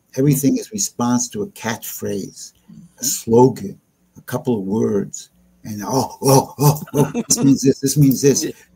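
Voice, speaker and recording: Vocal fry runs through a dark, mellow tone. The intonation is lively and the pace fairly slow. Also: man, medium pitch for a man. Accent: American. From New York. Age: 70s. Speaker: geopolitical and economic analyst. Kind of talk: interview discussion. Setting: live stream.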